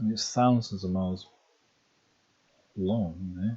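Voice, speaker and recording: A soft-spoken man whispering in an English accent at a fairly slow pace. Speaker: ASMR geography channel host. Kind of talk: soft-spoken geography talk, ASMR. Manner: soft-spoken, whispering.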